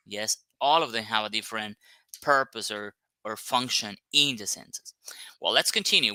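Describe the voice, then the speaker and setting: A man speaks with a non-native accent and a bright, sharp tone. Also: dry, close sound with no echo. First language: not English. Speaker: English teacher. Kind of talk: online lesson. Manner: hesitant, many fillers.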